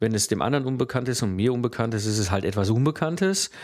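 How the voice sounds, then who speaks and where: In a very clean recording with a silent background, a man at medium pitch uses a normal speaking voice with ordinary pitch variation. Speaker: podcast host, systems engineer. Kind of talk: solo educational podcast.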